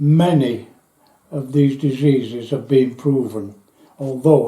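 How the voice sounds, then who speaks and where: A man with a Yorkshire accent talks at a fairly slow pace in a medium pitch, somewhat breathy. His intonation is monotone and flat, and the room echo is audible. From northern England, Yorkshire near Doncaster. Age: 80s+. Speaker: war veteran. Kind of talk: testimony.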